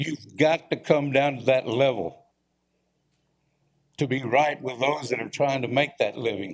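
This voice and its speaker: A man in a Texan accent, medium in pitch with ordinary variation, fairly slow with long, frequent pauses. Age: 70s. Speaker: former small-town mayor, public commenter. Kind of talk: public comment at city council. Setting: city council chamber. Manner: animated.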